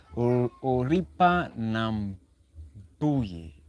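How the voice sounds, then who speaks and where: A man with a Kenyan accent speaks at a medium pitch. His voice swings very widely in pitch. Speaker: relationship talk livestreamer. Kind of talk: live stream talk. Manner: halting.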